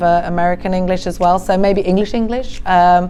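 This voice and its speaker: Music plays in the background while a woman talks at a moderate pace. Her medium pitch shows ordinary variation, and there is audible room echo. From England. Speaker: math teacher. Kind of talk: interview answers, casual.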